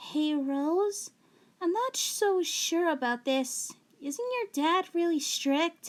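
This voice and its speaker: In a put-on character voice, a woman speaks very slowly with an extremely high, squeaky pitch and lively intonation. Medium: read story. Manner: stuttering when flustered.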